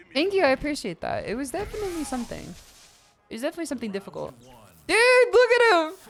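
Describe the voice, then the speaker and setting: With music in the background, a woman talks at a very fast pace in a high pitch, broken by long, frequent pauses. Her loudness swings a lot, and her pitch swings very widely. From Australia. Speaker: vtuber streamer. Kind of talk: casual gaming livestream chat. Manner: natural everyday talk, not put-on. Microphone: put effort into good mic sound.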